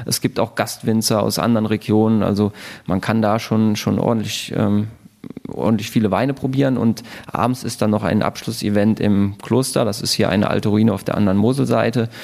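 At a fairly quick pace, a man talks in a fairly low pitch with a monotone, flat intonation and very even loudness. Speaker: winemaker. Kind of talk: casual interview chat. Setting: at a table in the winery.

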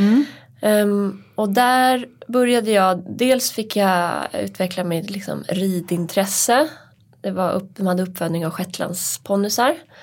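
A woman with a normal speaking voice talks at a fairly slow pace in a medium pitch, with ordinary pitch variation, on a very clean recording with a silent background. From Hälsingland, Sweden. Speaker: podcast co-host, press officer. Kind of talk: casual chat. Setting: studio.

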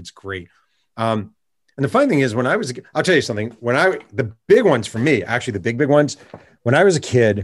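A man with an American accent and a medium pitch speaks at a fairly quick pace. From New York State, Hudson Valley. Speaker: sportswriter and author. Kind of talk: interview. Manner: animated.

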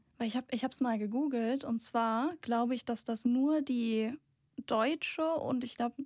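Recorded very cleanly against a silent background, a woman with a high pitch speaks at a moderate pace with fairly even intonation. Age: 20s. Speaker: tech editor, manga fan. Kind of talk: casual chat. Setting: studio.

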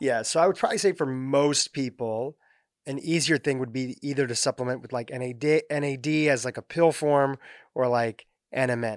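In a very clean recording with a silent background and a dry, close sound with no echo, a man with a plain, everyday voice speaks at medium pitch and a moderate pace, with ordinary pitch variation. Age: 30s. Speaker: podcast host. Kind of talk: interview, asking listener questions. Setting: studio.

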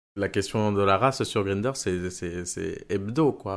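A man speaks with a fairly low pitch. The recording is very clean, with a silent background. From Venezuela. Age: 30s. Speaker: engineer sharing personal testimony. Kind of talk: testimony. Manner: halting, many fillers and repetitions.

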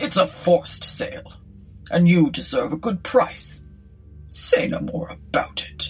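A woman's breathy, put-on character voice at a fairly slow pace, faint music behind her. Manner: cool, genteel, airy.

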